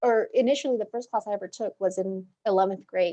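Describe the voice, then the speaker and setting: This woman has a fairly high pitch and a dark, mellow tone, and she speaks at a moderate pace. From Guatemala, then United States from age nine. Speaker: paralegal. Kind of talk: panel discussion.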